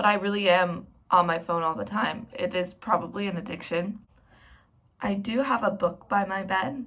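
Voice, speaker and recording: Here a woman speaks at a medium pitch with ordinary variation. Her pace is moderate. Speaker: lifestyle vlogger. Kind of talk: casual vlog talk to camera. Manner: rambling, conversational.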